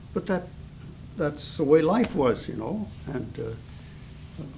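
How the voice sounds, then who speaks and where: Noticeable background noise runs through the clip. A man talks amid audible room echo. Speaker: Depression-era eyewitness. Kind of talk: oral history interview. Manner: halting.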